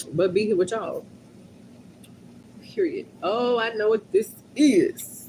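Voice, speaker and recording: Speaking at a very slow pace with long, frequent pauses, a woman uses a fairly high pitch that swings very widely, her dark, mellow tone somewhat breathy. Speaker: livestreamer. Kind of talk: casual livestream chat. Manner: animated.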